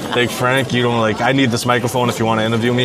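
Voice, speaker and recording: Audible room echo surrounds a man's voice. He speaks very fast in a monotone, flat intonation. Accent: American. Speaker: food content creator. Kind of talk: live podcast interview. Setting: diner with live audience. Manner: quiet, low-talking.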